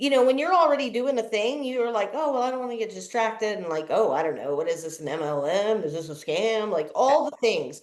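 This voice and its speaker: With vocal fry and very wide pitch swings, a woman speaks. Her pace is fairly quick, with hardly any pauses. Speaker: podcast host. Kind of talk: podcast interview host talk.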